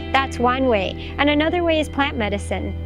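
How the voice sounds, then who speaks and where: Clear music plays behind a woman speaking at a moderate pace, and the sound is dry with no echo. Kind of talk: interview answer. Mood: calm, reflective, earnest. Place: forest.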